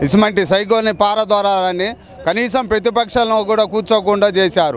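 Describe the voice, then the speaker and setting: A man speaks with a high pitch. Crowd noise fills the background. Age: old. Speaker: local party worker. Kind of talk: street interview. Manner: halting, many restarts.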